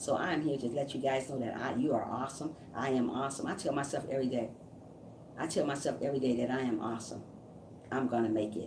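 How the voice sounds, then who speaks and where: A woman talks at a very fast pace with a very deep, low pitch and fairly even intonation. Room echo is audible. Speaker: YouTube live streamer and motivational speaker. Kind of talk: motivational live stream chat. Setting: live stream. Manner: stumbling over words.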